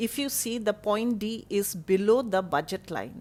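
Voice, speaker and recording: A woman with a normal speaking voice talks at a moderate pace and a fairly high pitch. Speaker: college economics teacher. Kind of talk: online lecture.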